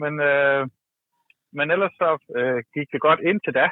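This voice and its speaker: Ordinary pitch variation shapes this man's speech. His voice sits fairly high. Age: 40s. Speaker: caller. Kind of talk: casual chat.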